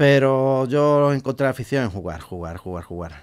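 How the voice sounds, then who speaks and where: The man's voice moves through very wide pitch swings. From Huelva, Andalusia, Spain; Andalusia, Spain. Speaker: Twitch streamer. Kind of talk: radio interview. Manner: halting, repeats words. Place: studio. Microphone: studio mic.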